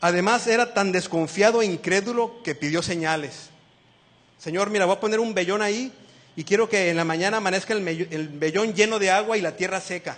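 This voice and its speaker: A man talks at a fairly quick pace in a high voice. His pitch varies in an ordinary way. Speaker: lay preacher. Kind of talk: sermon. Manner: fast; animated.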